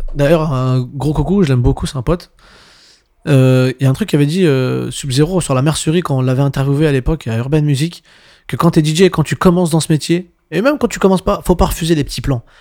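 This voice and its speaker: Fairly quick and dark, mellow in tone, a man's fairly high voice moves with ordinary pitch variation. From Montreuil, Paris suburbs, France. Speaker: DJ. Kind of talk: casual interview chat. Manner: halting, many fillers.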